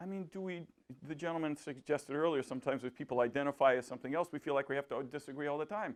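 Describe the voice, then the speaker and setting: This man talks at a very fast pace in a fairly high pitch. His pitch variation is ordinary. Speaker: philosopher and public speaker. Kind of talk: public talk with audience discussion. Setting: library talk with live audience.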